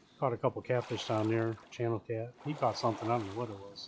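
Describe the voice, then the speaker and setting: Monotone, flat intonation with an American accent, amid noticeable background noise. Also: man. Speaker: gaming streamer. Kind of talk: casual chat. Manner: rambling with frequent fillers and restarts.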